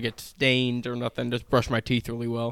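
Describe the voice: The tone is clear and smooth. A man delivers it at a moderate pace.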